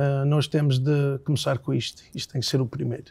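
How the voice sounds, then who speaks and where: The speaker has a dark, mellow tone and fairly even intonation, with an English accent. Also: man. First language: English (speaking Portuguese). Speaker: singer-songwriter. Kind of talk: interview. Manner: halting.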